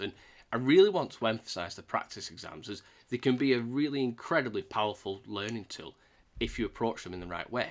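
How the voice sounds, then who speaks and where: A man's voice with very wide pitch swings and a fairly quick pace. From UK. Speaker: YouTuber teaching Salesforce certification. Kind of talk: tutorial. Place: home room.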